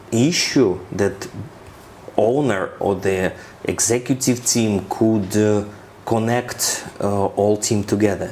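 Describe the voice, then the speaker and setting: A man with a Ukrainian accent at medium pitch and a very slow pace, over noticeable background noise. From Ukraine. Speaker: corporate finance expert. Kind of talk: interview. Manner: halting, with fillers and repetitions.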